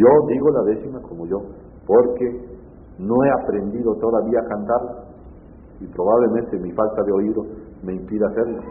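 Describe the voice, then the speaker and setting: In a room with audible echo, a man with a fairly low pitch speaks with fairly even intonation, long and frequent pauses, and big swings in loudness. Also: moderate pace. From Mexico, Veracruz, Tlacotalpan. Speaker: poet and reciter. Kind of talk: interview.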